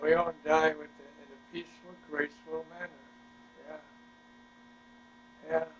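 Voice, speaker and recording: Amid noticeable background noise, a man speaks at a moderate pace with long, frequent pauses. His intonation is monotone and flat, with big swings in loudness. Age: 90s. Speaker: war veteran. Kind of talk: family interview. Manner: halting.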